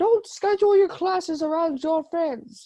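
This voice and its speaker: A woman puts on a character voice at an extremely high pitch. She keeps a moderate pace. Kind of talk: teacherly, advising.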